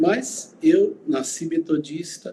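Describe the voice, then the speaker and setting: A man talks with lively intonation. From Goiânia, Brazil (born in Uberlândia). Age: 60s. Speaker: pastor. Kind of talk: interview.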